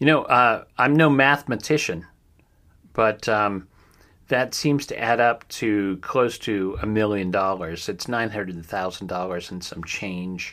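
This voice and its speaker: Bright and sharp in tone, this American-accented voice moves at a fairly slow pace in a very clean recording with a silent background. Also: man, fairly low pitch for a man, ordinary pitch variation. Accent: slight Ohio accent, shows at times. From Ohio. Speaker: true crime podcast host. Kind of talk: news roundup with commentary. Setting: home studio. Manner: hesitant, many fillers.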